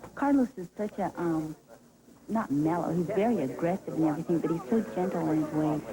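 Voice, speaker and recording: Noticeable background noise sits behind a woman with a fairly low pitch. She talks at a fairly quick pace with lively intonation. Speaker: boycott organizer. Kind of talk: interview.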